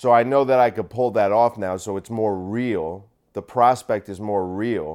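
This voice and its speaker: In a very clean recording with a silent background, a man with an unremarkable speaking voice talks at a fairly slow pace, his fairly low pitch showing ordinary variation. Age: 30s. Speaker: solo podcaster and comedian. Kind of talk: casual solo monologue. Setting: at home in apartment.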